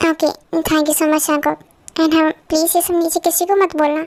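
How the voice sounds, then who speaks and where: A woman does a put-on character voice at an extremely high pitch, with monotone, flat intonation and very even loudness. She talks at a fairly quick pace in a dry, close sound with no echo. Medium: fan dub. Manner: soft, pleading.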